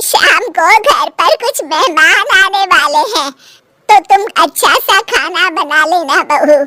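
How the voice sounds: A woman does a cartoonish character voice at an extremely high pitch with very wide pitch swings. She speaks at a fairly slow pace, and the sound is dry and close with no echo.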